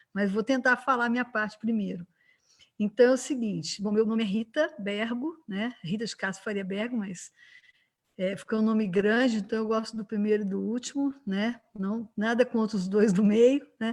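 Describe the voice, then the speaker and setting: In a Minas Gerais accent, a woman talks at a moderate pace in a fairly high, somewhat breathy voice with fairly even intonation. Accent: Minas Gerais (mineiro). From Brazil, Minas Gerais (Juiz de Fora). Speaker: physician and lecturer, civic council member. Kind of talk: online panel discussion. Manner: conversational, many fillers (né).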